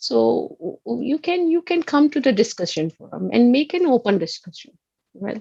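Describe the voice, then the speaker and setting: Against a quiet background, a woman in a Pakistani accent speaks at a fairly slow pace, the sound dry and close with no echo. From Pakistan, Karachi. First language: Urdu. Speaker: college instructor. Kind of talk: online lecture. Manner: halting.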